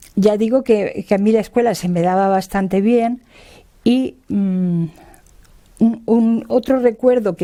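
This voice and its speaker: A woman's fairly high voice in a dark, mellow tone, at a fairly slow pace with ordinary pitch variation. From Spain, Hellín (Albacete, Castilla-La Mancha). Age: 60s. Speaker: retired labour lawyer and feminist activist. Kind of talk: oral history interview. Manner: hesitant, many fillers.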